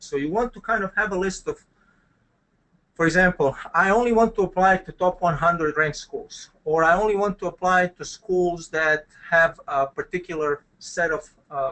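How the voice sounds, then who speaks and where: A man with a Croatian accent speaks at a high pitch with ordinary pitch variation and big swings in loudness. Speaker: business school dean. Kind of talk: webinar presentation. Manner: hesitant, many fillers.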